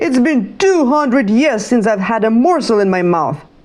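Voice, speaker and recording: A woman's put-on character voice, hoarse and cackling, fairly high in pitch, at a moderate pace. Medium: read story.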